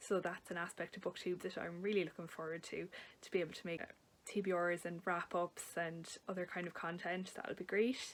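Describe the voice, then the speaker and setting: Talking at a fairly quick pace, a woman with an Irish accent has a fairly low pitch and a monotone, flat intonation. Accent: Irish, noticeable. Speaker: book vlogger. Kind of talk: casual talk to camera. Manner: hesitant, with fillers.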